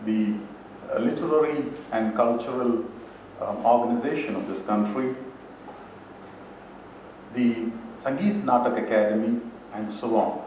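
A man talks at a moderate pace with fairly even intonation and long, frequent pauses, with audible room echo and light background noise. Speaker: speaker. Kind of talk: lecture. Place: hall. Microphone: podium.

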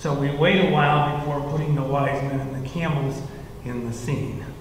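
Strong room echo and light background noise surround a man speaking at a moderate pace. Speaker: church minister or leader. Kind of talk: children's sermon style explanation. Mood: warm, gentle. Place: church.

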